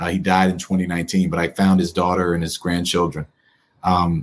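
At an unhurried, medium speed, a man speaks with an American accent. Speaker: attorney, author and local politician. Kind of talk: interview. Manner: animated.

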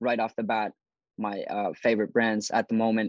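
A man speaks fairly quickly at a medium pitch, with a Finnish accent. The sound is dry and close with no echo, over a quiet background. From Finland. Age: 20s. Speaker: fashion YouTuber. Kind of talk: interview.

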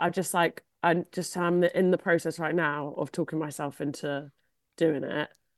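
A woman's fairly low voice in a Cornish accent, monotone and flat in intonation, with a dry, close sound with no echo and a quiet background. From Cornwall. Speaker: comedian. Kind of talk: casual chat. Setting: video call.

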